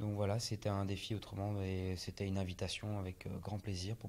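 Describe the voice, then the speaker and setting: This man's voice is somewhat breathy and fairly low in pitch. He speaks at a moderate pace. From France, Brittany (Morbihan). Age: 30s. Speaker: street artist. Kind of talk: interview. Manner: hesitant, many fillers.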